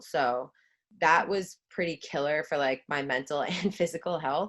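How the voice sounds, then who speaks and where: With a Long Island accent, a woman speaks at a moderate pace using ordinary pitch variation. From Long Island, New York (Suffolk County, South Shore). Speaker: former college lacrosse player, brand ambassador. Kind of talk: casual podcast interview.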